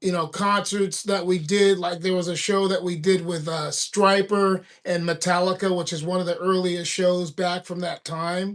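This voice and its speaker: Barely pausing, a high-pitched man with an American accent speaks in a monotone, flat intonation. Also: moderate pace. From California. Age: 60s. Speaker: thrash metal musician. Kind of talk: casual chat. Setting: livestream.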